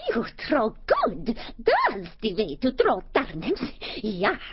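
Growling at a very slow pace, a woman speaks at a fairly high pitch with very wide pitch swings. Light background noise is present. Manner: snarling, broken grammar, hot-tempered.

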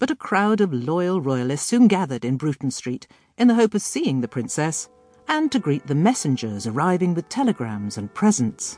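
A woman's fairly low-pitched voice with very wide pitch swings at a moderate pace, in a dry, close sound with no echo, with music in the background. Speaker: audiobook narrator. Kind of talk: history audiobook narration. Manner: measured, clear, formal storytelling pace.

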